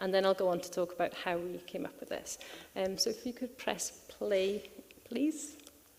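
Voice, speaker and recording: A soft-spoken woman talks at a fairly quick pace with a Welsh accent. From Wales. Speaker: tourism researcher. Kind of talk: conference panel talk. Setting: conference stage with audience. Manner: fast. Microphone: too quiet.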